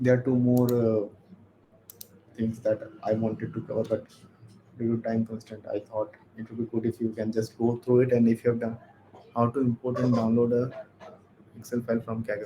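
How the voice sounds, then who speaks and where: The voice is dark and mellow, somewhat breathy and monotone, moving at a moderate pace with long, frequent pauses. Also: man, medium pitch for a man. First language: not English. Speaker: workshop instructor. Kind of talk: lecture. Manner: halting.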